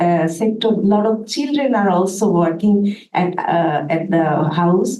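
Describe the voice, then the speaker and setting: A woman with a dark, mellow tone talks at a fairly slow pace with ordinary pitch variation amid audible room echo. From Bangladesh. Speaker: audience member, labor activist. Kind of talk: audience question. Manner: halting.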